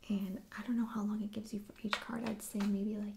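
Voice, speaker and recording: A soft-spoken voice at a moderate pace over noticeable background noise. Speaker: ASMR artist. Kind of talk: ASMR soft-spoken board game show and tell.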